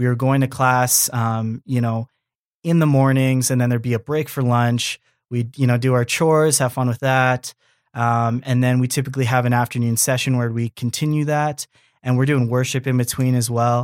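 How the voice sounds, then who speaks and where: A man with a Canadian accent at medium pitch, monotone and flat, moderate in pace and very even in loudness, in a dry, close sound with no echo on a very clean recording with a silent background. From Canada. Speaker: church member. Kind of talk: casual interview.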